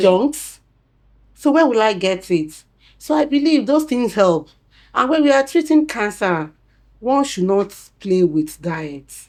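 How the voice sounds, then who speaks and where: Very wide pitch swings and long, frequent pauses in a very clean recording with a silent background. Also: woman, medium pitch for a woman. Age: old. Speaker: cancer survivor, former support group president. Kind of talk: interview answer.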